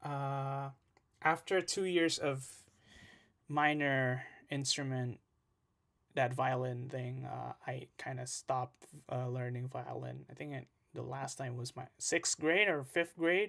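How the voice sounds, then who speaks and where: Speaking with an Indonesian accent, a man goes at a very slow pace. He leaves long, frequent pauses. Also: medium pitch for a man, ordinary pitch variation. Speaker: music producer and streamer. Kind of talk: casual live stream chat. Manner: hesitant, many fillers.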